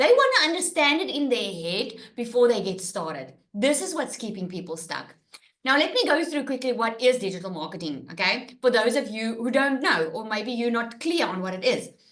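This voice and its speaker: With audible room echo, a woman speaks fairly quickly in a fairly high pitch that swings very widely. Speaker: online business coach. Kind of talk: webinar presentation. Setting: live webinar with screen share. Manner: animated.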